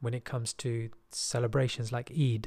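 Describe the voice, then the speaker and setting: Somewhat breathy, a man with a British accent speaks at a moderate pace. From England. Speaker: podcast host. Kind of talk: personal monologue.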